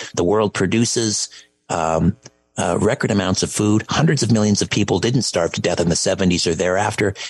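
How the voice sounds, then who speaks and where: A man speaks at a moderate pace in a fairly low pitch, with ordinary pitch variation. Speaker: radio host. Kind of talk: talk radio show hosting with interviews. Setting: radio studio. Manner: theatrical radio DJ patter, booming and animated.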